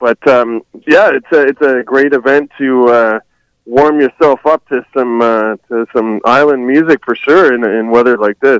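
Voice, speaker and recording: The sound is dry and close with no echo as a man with an ordinary speaking voice talks at a fairly slow pace, at medium pitch with ordinary pitch variation. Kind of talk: casual banter on a phone call.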